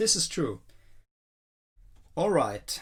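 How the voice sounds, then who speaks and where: A man with a Swedish accent, talking at a very slow pace. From Sweden. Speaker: health and nutrition youtuber. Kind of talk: educational monologue. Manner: animated.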